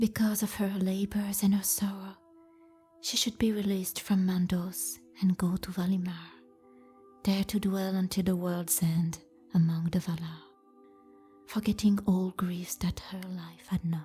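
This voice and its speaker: A woman with a French accent speaks at a fairly slow pace and medium pitch, in a monotone, flat intonation. She leaves long, frequent pauses while music plays in the background. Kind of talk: fantasy book reading.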